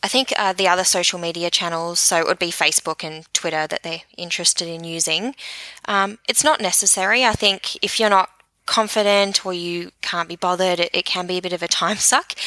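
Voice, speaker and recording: A woman with an Australian accent speaks at a medium pitch in a bright, sharp tone, with ordinary pitch variation. Her pace is fairly quick, and the sound is dry and close with no echo. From New Zealand. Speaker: social media marketing expert. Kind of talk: interview.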